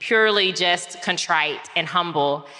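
A woman speaks in a plain, everyday voice. Her pitch sits in the middle range, and her intonation is lively. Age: 40s. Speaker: reinvention strategist and author. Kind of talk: live talk before an audience. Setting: live event with audience.

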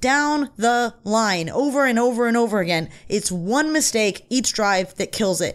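A plain, everyday voice from a woman with an American accent, fairly high in pitch, with lively intonation, very even loudness and hardly any pauses, on a very clean recording with a silent background. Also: fairly slow pace. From Van Nuys, Los Angeles. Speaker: sports podcast co-host. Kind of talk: casual sports talk.

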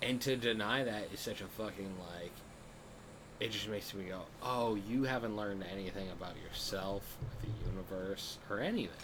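A man's fairly low voice at a moderate pace, with fairly even intonation and audible room echo. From Massachusetts. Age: 30s. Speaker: comedian. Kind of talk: casual chat.

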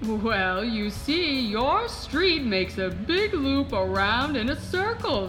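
Putting on a character voice, a woman speaks very slowly at a high pitch over clear background noise. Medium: audio drama. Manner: warm, gentle, folksy.

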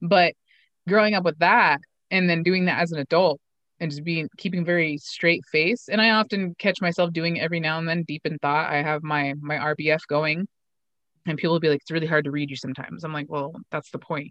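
A woman with an American accent and a fairly low pitch speaks at a fairly quick pace with fairly even intonation. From eastern Oregon, Umatilla Reservation. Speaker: pro MMA fighter and podcast host. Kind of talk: casual chat.

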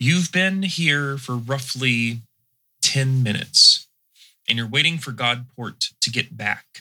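A man with an American accent speaks at a very slow pace. His medium pitch shows ordinary variation. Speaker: game master running tabletop RPG. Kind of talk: tabletop roleplaying game narration.

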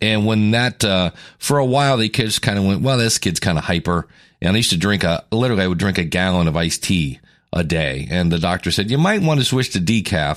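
Speaking at a very fast pace, a man has a fairly low, raspy voice with very even loudness. The recording is very clean, with a silent background. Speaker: podcast host. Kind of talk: solo podcast monologue about weight loss. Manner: casual, with filler words.

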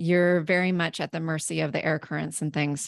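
A woman with a fairly low pitch speaks at a moderate pace with fairly even intonation. The recording is very clean, with a silent background, and the sound is dry and close with no echo. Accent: American. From US Pacific Northwest (southeastern Washington State). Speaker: life balance coach. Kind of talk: podcast interview. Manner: hesitant with fillers.

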